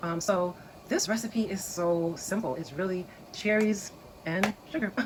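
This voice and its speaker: A woman with a medium pitch and ordinary pitch variation is heard against noticeable background noise. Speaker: home canning video creator. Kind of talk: tutorial. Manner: casual, with many fillers; lowered voice, quieter.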